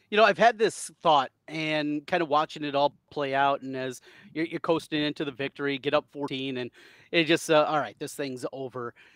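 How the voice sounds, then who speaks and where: With an American accent and ordinary pitch variation, a man speaks at a moderate pace, the sound dry with no echo and the background quiet. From US Midwest. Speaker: sports podcast host. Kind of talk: casual sports chat. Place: home room. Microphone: headset.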